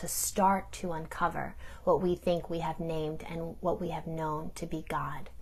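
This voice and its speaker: The woman's voice is somewhat breathy. It carries a dark, mellow tone. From New York, Italian-American community. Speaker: theologian. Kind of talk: recorded talk.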